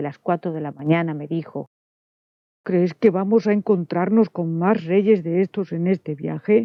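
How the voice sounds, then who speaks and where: With an unremarkable speaking voice, a woman talks at a moderate pace, fairly low in pitch and with ordinary pitch variation. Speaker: audiobook narrator. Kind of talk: audiobook reading.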